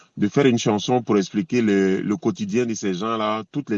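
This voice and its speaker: A man talks at a medium pitch and a moderate pace, his pitch varying in an ordinary way. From Côte d'Ivoire / Burkina Faso. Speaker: reggae singer. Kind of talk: interview. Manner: hesitant, many fillers.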